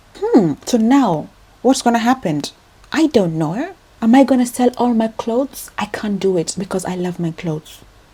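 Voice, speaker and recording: Amid noticeable background noise, a woman with a fairly high voice talks at a moderate pace, her pitch swinging very widely. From Kenya. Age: 20s. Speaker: vlogger, registered nurse. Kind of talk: personal vlog confession. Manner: animated.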